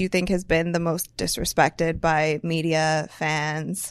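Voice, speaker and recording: A woman speaks with an American accent at a fairly slow pace. Her pitch is fairly low. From US Midwest. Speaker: sports podcast host. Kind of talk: casual chat.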